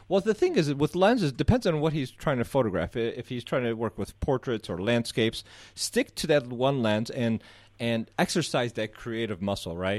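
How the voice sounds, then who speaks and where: In a very clean recording with a silent background, a man with an American accent speaks at a moderate pace and medium pitch with lively intonation. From Southeast Michigan. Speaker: photographer. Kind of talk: interview. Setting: radio studio.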